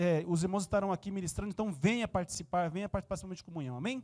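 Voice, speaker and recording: The man's pitch is high and his intonation fairly even. The recording is very clean, with a silent background. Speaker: pastor. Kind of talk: church announcements. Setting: church. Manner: fast.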